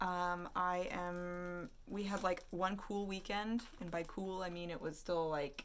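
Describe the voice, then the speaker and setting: A woman's very slow delivery with hardly any pauses, fairly even intonation, and audible room echo. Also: medium pitch for a woman. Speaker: artist and vlogger. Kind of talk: casual vlog chat.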